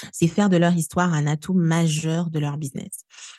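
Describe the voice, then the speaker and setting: A woman's somewhat breathy voice, fairly low in pitch and dark and mellow in tone, at a fairly slow pace in a dry, close sound with no echo against a quiet background. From DR Congo, Kinshasa. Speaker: storytelling coach. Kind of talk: interview.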